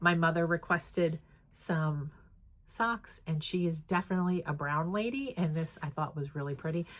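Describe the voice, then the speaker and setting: A woman with an American accent speaks in a fairly low, somewhat breathy voice, captured in a very clean recording with a silent background. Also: ordinary pitch variation, moderate pace. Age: 60s. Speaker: crafting vlogger. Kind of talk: casual vlog chat. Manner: casual, filler-heavy.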